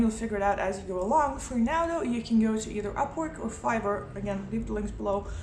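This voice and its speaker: A woman with a Lithuanian accent speaks at a fairly high pitch, with audible room echo and noticeable background noise. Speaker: motorcycle travel vlogger and writer. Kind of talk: casual vlog talk. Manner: hesitant, many fillers.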